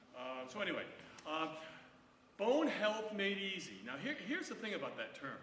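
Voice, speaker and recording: A loud man with a high pitch talks at a fairly quick pace, his voice making very wide pitch swings. Noticeable background noise and audible room echo are present. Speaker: doctor and osteoporosis educator. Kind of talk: lecture.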